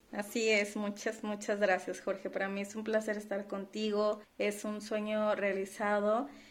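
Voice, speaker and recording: A woman speaks at a fairly slow pace in a monotone, flat intonation, with hardly any pauses. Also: medium pitch for a woman. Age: 30s. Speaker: podcast co-host, finance professional. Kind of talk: casual chat.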